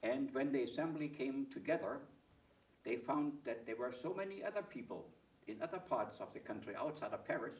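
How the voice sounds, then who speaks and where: A man talks with lively intonation and vocal fry. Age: 80s+. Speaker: author. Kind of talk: interview. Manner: halting.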